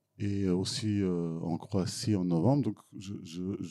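A man with a Serbian accent speaks in a very deep, low voice with a dark, mellow tone. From Serbia (former Yugoslavia). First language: Serbian (speaking French). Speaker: film director. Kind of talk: Q&A after a film screening. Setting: cinema hall with audience. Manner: halting, frequent repetitions.

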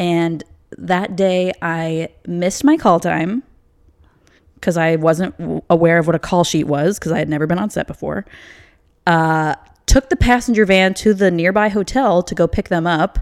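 A woman with an unremarkable speaking voice talks at a moderate pace, her pitch fairly low with ordinary variation. The sound is dry and close with no echo, on a very clean recording with a silent background. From US Midwest, Chicago suburbs (Illinois). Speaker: TV production coordinator. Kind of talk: casual chat.

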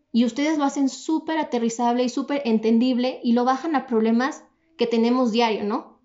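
A woman with a Mexican accent has a high pitch. Her pitch varies in an ordinary way. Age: 20s. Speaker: entrepreneur. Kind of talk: podcast interview. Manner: fast, energetic.

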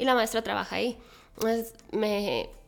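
Music behind a fairly high female voice, delivered at a fairly slow pace. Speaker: speech therapist and cancer survivor. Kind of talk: interview conversation, testimony. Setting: in person, same room. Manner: animated.

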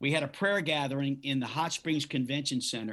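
Against a quiet background, a man with a normal speaking voice talks in a fairly high pitch with fairly even intonation. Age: 50s. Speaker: pastor. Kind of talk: interview.

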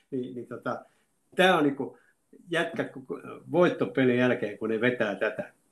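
The speaker uses lively intonation and leaves long, frequent pauses. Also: man, medium pitch for a man, fairly slow pace. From Finland, Lahti (moved from Oulu at seven). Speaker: retired football coach and teacher. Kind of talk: interview, reminiscing. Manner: halting, many fillers.

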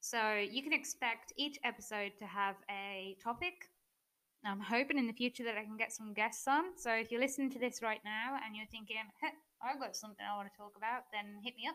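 With an English accent and a bright, sharp tone, this voice moves at a fairly quick pace with ordinary pitch variation. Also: woman, fairly high pitch for a woman. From England. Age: 20s. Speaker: mindset coach. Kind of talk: solo podcast monologue. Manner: unscripted, with filler words and laughs.

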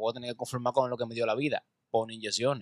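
At a very fast pace, a man speaks in a medium-pitched, monotone, flat voice, the sound dry and close with no echo. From Dominican Republic, Santo Domingo. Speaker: comedian and radio host. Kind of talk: casual chat. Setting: studio.

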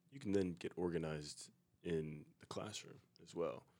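This man has a very deep, low voice, speaking at a moderate pace with fairly even intonation. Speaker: college student podcast co-host. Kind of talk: casual chat.

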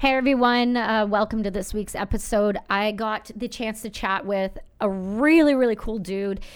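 A woman speaks in an unremarkable speaking voice at a fairly high pitch and a moderate pace, with hardly any pauses. Her pitch varies in an ordinary way, and the recording is very clean with a silent background. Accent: Canadian. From Canada, rural. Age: 30s. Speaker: podcast host and army veteran. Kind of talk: casual chat.

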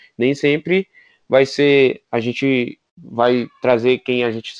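Very slow speech with fairly even intonation comes through with a dry, close sound with no echo. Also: man. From Brazil, Federal District. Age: 20s. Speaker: podcast co-host, pedagogy student. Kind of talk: casual chat. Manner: halting.

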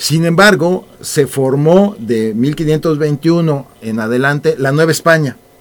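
Speaking very slowly with hardly any pauses, a man uses a fairly high pitch and ordinary pitch variation. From Mexico, Mexico City. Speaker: author. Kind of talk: radio interview.

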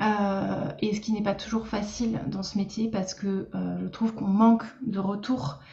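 Over noticeable background noise, a woman speaks at a medium pitch and fairly slow pace with ordinary pitch variation. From Lorraine, France. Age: 30s. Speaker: speech therapist and coach. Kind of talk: interview. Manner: hesitant, many fillers.

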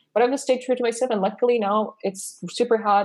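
A woman with a Persian accent at a very fast pace, with ordinary pitch variation. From Iran. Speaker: AI startup co-founder and researcher. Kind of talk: interview.

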